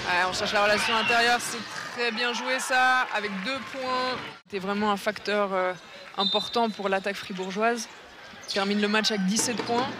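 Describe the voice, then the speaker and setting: A man raises and projects his high-pitched voice over noticeable background noise. His intonation stays fairly even at a moderate pace. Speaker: basketball commentator. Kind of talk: live sports commentary. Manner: halting, repeats words mid-sentence while following the action.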